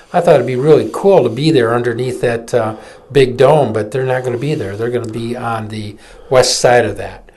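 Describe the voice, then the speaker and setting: A man with an American accent speaks at a moderate pace and medium pitch with ordinary pitch variation, over noticeable background noise and audible room echo. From Michigan, Flint. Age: 60s. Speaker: political activist and attorney. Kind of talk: opinion commentary; casual chat. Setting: live webcast studio.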